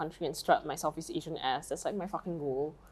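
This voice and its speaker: A woman speaks in a Malaysian accent with an animated tone. Her pitch variation is ordinary. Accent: Malaysian English, still there. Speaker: podcast co-host. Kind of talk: casual chat.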